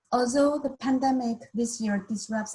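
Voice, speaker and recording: A woman's fairly high voice with a dark, mellow tone at a moderate pace. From China. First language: Mandarin. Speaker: university staff member. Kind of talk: welcome presentation.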